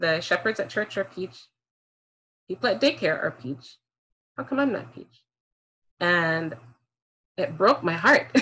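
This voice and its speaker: Pausing long and often at a fairly slow pace, a woman with a bright, sharp tone makes very wide pitch swings and big swings in loudness. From Jamaica. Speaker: speaker on race and parenting; speaker. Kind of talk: talk to an online audience. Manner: fluent. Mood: earnest, reflective. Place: home room. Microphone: video call.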